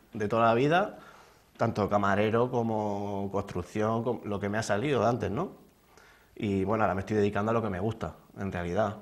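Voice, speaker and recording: Moderate pace and fairly low pitch from a man. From Spain, Hellín (Albacete province); Spain. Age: 20s. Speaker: fitness instructor, beauty pageant contestant; interview guest. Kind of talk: TV interview; interview answer. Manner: halting, many repetitions and fillers. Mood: modest, calm, slightly nervous. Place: studio. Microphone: lapel.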